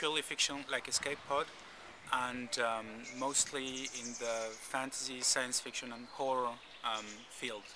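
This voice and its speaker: A man speaks at medium pitch with a bright, sharp tone. His intonation is flat and monotone, and his pace is fairly slow. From French-speaking Switzerland, from age eight; born in Uruguay. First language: Spanish. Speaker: podcast producer. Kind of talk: interview. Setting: convention. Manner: halting, many fillers and repeats.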